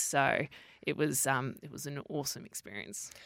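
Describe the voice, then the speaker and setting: In an Australian accent, a woman speaks with a very deep, low pitch, ordinary pitch variation and vocal fry. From Western Australia (Perth). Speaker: sports TV presenter. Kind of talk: interview. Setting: studio.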